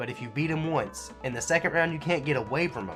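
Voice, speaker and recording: A man talking at a fairly quick pace, with clear music in the background. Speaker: video game reviewer. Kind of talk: game review commentary. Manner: casual, humorous.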